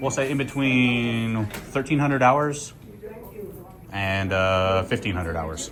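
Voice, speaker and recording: Amid noticeable background noise, a man with a medium pitch makes very wide pitch swings. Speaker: first amendment auditor. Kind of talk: heated confrontation and records request. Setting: hospital lobby, filmed on camera. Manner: assertive, argumentative.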